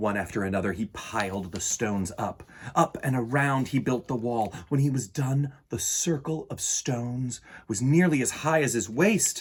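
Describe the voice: This man talks at a fairly slow pace with medium pitch, a slightly husky edge, and ordinary pitch variation.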